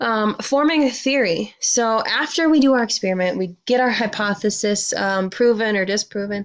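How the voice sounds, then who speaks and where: This woman has an ordinary speaking voice at a fairly high pitch. She talks at a moderate pace with ordinary pitch variation. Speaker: science teacher. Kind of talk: lecture.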